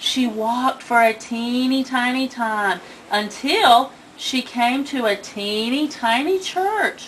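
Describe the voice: A woman's slow-paced voice over faint background noise. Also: fairly high pitch for a woman, ordinary pitch variation.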